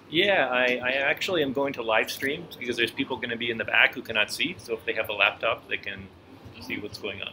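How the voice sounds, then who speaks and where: A man talks at a very fast pace, medium in pitch with ordinary pitch variation. Noticeable background noise is present. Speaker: presenter. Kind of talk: casual chat. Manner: loud.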